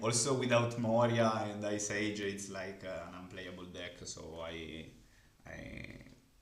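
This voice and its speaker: In an Italian accent, a man speaks at a fairly low pitch with big swings in loudness. Audible room echo surrounds his voice. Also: ordinary pitch variation, fairly slow pace. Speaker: card game content creator. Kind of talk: interview. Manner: halting.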